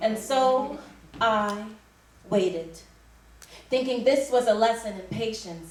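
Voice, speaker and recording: Noticeable background noise runs behind a woman talking at a high pitch. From Canada. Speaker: spoken word poet. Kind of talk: spoken word poetry performance. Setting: live stage.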